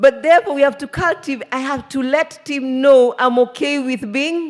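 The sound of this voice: A woman speaks with a high pitch and ordinary pitch variation. Her tone is slightly mellow. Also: moderate pace.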